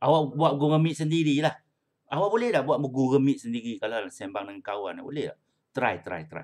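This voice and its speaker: Against a quiet background, a man talks at a moderate pace and a fairly high pitch, with big swings in loudness. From Malaysia. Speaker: primary school English teacher. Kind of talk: online class lesson. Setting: video call. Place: home room. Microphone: webcam.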